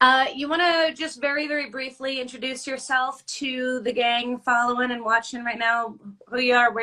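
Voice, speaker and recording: A woman's high, bright, sharp voice at a fairly quick pace, with ordinary pitch variation. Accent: New Jersey. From New Jersey. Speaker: podcast host. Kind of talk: casual interview chat. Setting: hotel room, video call.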